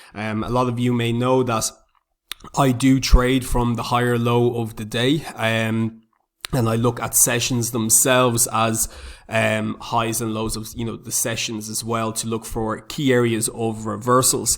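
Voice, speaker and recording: A man with an Irish accent speaks at a medium pitch. His intonation is monotone and flat, and his pace fairly slow. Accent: Irish, noticeable. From Republic of Ireland. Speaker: forex trader, YouTuber. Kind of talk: tutorial. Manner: frequent filler words (um).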